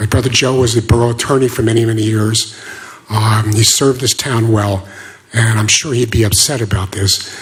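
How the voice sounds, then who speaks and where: A man's medium-pitched voice at a fairly quick pace, flat and monotone, over noticeable background noise. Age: 60s. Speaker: local resident giving public comment. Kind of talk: public comment at town meeting.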